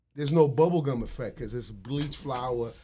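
The speech comes at a moderate pace, somewhat breathy, in a very clean recording with a silent background. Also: man. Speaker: food entrepreneur. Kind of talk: casual interview chat. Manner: casual, slangy.

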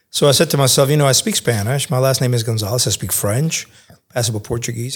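A man with an American accent at a very fast pace, medium-pitched and somewhat breathy, with ordinary pitch variation. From Cuba, Spain and New York. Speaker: think tank fellow, former journalist. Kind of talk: interview podcast.

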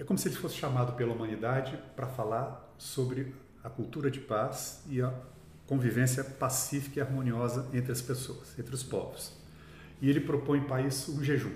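The man's intonation stays fairly even. His voice carries audible room echo. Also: medium pitch for a man, moderate pace. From Brazil, São Paulo (from age 7; born Minas Gerais). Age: 60s. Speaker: actor. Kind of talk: interview conversation.

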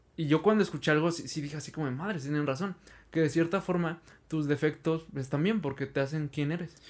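A man with an ordinary speaking voice talks at a fairly quick pace, his pitch fairly high and his intonation fairly even, on a very clean recording with a silent background. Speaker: podcast host. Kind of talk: casual interview chat.

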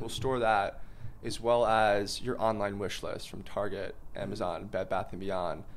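With an American accent, a man speaks at a moderate pace in an unremarkable speaking voice with ordinary pitch variation. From New York. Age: 20s. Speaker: startup founder and CEO. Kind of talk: casual interview chat.

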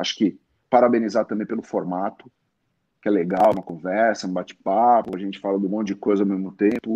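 At a fairly quick pace, a man speaks in a dark, mellow, fairly low voice with monotone, flat intonation, and the sound is dry and close with no echo. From Brazil, Santos (São Paulo coast). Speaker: sportswear company manager. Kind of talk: interview. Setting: live stream.

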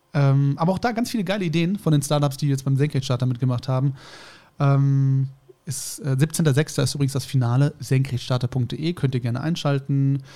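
A man speaks at a fairly quick pace with a fairly high pitch and ordinary pitch variation. His tone is dark and mellow, and somewhat breathy. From Germany. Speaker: podcast co-host. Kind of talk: casual chat.

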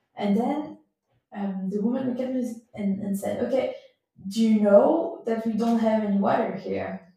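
A woman's fairly high voice at a fairly slow pace, with ordinary pitch variation, long, frequent pauses and audible room echo. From Switzerland, Gruyère region. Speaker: cyclist and traveller. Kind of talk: casual interview chat. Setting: in person recording. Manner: halting, many fillers. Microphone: poor sound quality.

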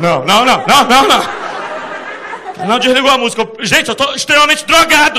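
A man talks in a raised, projected voice with an animated tone, his extremely high pitch swinging very widely. He goes at a fairly slow pace with hardly any pauses and very even loudness, over noticeable background noise. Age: 30s. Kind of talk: stand-up.

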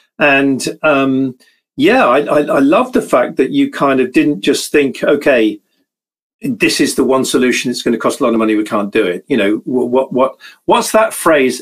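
A man with a British accent talks at a fairly high pitch, his intonation lively. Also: moderate pace. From Britain. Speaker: webinar host. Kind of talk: live webinar interview.

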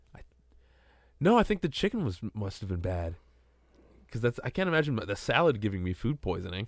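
Talking very fast, a man makes very wide pitch swings and big shifts in loudness, with long, frequent pauses. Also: very clean recording, silent background. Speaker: gaming podcast co-host. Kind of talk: casual chat.

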